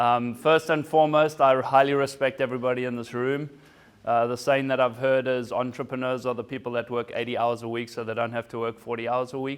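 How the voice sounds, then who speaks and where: At a fairly quick pace, a man talks in a monotone, flat way at a medium pitch. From South Africa. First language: German and Zulu. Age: 40s. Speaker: former Olympic swimmer and business speaker. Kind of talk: keynote talk.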